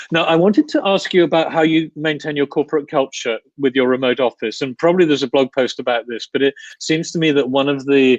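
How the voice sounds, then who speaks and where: A man with a British accent and a fairly high pitch, very fast pace, ordinary pitch variation, and dry, close sound with no echo. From United Kingdom. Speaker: podcast host. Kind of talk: interview. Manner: halting.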